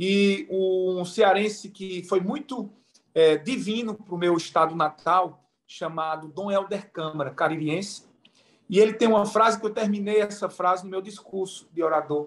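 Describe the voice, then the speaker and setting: A man talks in a Pernambuco accent. His pitch is high, and his pace is fairly slow. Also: ordinary pitch variation. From Pernambuco, Brazil. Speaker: event moderator, mediation chamber president. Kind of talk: panel discussion.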